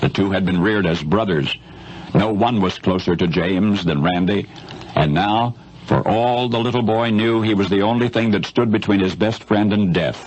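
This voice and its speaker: A man's fairly low voice with ordinary pitch variation at a moderate pace, over noticeable background noise. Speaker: radio broadcaster. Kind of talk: radio news commentary storytelling.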